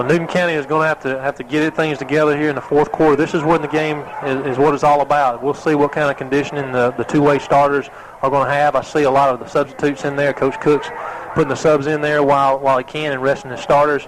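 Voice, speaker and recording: Over noticeable background noise, the voice rushes along at a very fast pace with monotone, flat intonation. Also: man, fairly high pitch for a man. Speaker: radio color commentator. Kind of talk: live commentary. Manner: halting, stumbling over words.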